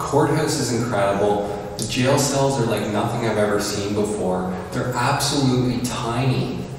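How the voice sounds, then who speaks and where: Strong room echo and light background noise surround a man who talks at a moderate pace with hardly any pauses and ordinary pitch variation. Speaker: urban explorer vlogger. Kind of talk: casual vlog chat.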